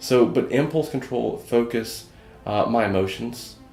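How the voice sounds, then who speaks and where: Music plays in the background as a man with a Southern US accent talks at a fairly slow pace with ordinary pitch variation and audible room echo. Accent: Southern US (his own mention of his accent). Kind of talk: interview testimony. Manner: halting, many fillers and repeated words.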